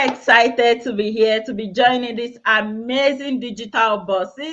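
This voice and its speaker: Speaking at a moderate pace with hardly any pauses, a woman with a Nigerian accent uses a high pitch, ordinary pitch variation and big swings in loudness. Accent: Nigerian (Yoruba) English. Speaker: healthcare worker and online business owner. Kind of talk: self-introduction on live panel. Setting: live video stream.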